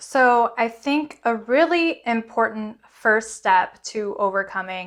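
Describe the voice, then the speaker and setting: An animated woman with a fairly high voice is heard on a very clean recording with a silent background. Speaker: self-help vlogger. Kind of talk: motivational talk to camera. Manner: loud.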